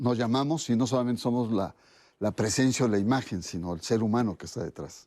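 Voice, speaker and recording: Against a quiet background, a man with a dark, mellow tone and medium pitch speaks at a fairly quick pace with ordinary pitch variation. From Mexico, Orizaba, Veracruz. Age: 60s. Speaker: sociologist of religion, interview guest. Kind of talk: interview.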